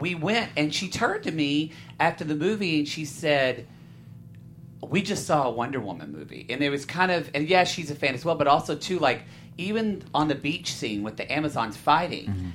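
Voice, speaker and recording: A man with an American accent talks fairly quickly with lively intonation. Music plays in the background. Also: fairly high pitch for a man. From southern Oklahoma. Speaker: film podcast panelist. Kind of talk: casual chat.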